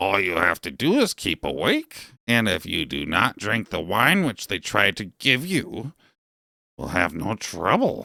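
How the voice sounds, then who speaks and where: A put-on character voice with lively intonation moves at a moderate pace in dry, close sound with no echo. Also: man, fairly low pitch for a man. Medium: read story. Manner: calm, knowing.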